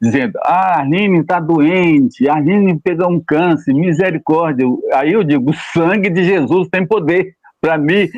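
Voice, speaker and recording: A man speaks at a high pitch and a fairly slow pace. His loudness stays very even. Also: ordinary pitch variation, hardly any pauses. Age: 80s+. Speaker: retired pastor. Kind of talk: interview testimony. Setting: live stream.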